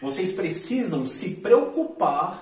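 Against noticeable background noise, the speaker talks at a very slow pace with a Brazilian accent. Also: man. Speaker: online money-making youtuber. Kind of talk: sales pitch; screen-share tutorial.

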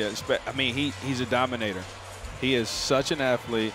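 A man talks at a moderate pace with fairly even intonation. The sound is dry with no echo, and there is noticeable background noise. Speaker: color analyst, former player. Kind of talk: live sports commentary. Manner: emphatic, coach-like. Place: booth. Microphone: headset.

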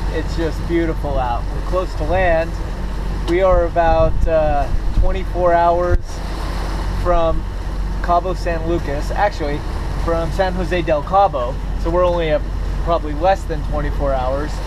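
A man talks at a fairly slow pace, with long, frequent pauses. Noticeable background noise can be heard. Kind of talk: casual vlog chat. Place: boat. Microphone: phone near.

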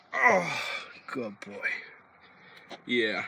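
A man at a very slow pace, with a dry sound free of echo and noticeable background noise. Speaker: small youtuber. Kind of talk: casual vlog chat. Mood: warm, earnest.

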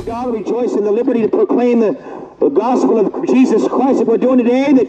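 An extremely high-pitched man at a fairly quick pace, with light background noise. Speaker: street preacher. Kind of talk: open-air street sermon. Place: street.

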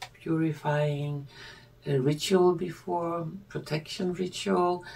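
Speaking with a non-native accent, the woman keeps a fairly slow pace. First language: not English. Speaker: tarot reader and spiritual video creator; divination teacher. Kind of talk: scripted-style monologue, video presentation. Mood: calm, gentle.

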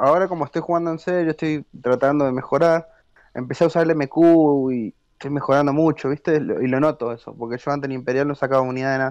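The man speaks very fast in a fairly high voice with fairly even intonation. The sound is dry and close, without echo, over a quiet background. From Argentina. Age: 20s. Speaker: competitive video game player. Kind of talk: casual interview.

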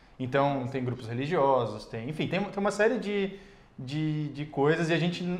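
Lively intonation from a man with a fairly high pitch, at a moderate pace. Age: 30s. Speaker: YouTuber and actor; YouTuber, actor. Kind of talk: casual interview. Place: studio. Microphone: lapel.

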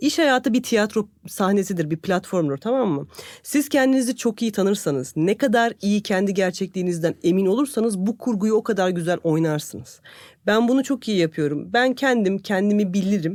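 On a very clean recording with a silent background, the words come at a moderate tempo. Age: 40s. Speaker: podcast co-host, corporate employee. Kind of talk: casual chat.

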